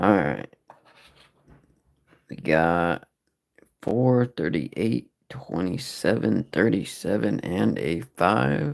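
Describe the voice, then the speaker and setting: A man speaks at a very slow pace with a very deep, low pitch and vocal fry. His pitch swings very widely, broken by long, frequent pauses. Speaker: live-stream scratch ticket streamer. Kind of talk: casual live-stream commentary. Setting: live stream.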